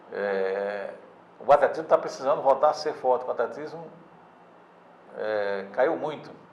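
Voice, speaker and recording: A man at a fairly slow pace, long and frequent pauses, noticeable background noise behind him. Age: 60s. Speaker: sports newspaper editor. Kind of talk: interview. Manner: halting, many repetitions and fillers.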